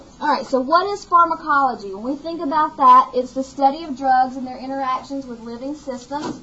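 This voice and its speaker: Speaking over noticeable background noise, a woman with an Alabama accent talks at a high pitch with ordinary pitch variation. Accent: Southern US (Alabama). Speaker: nursing instructor. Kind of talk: lecture.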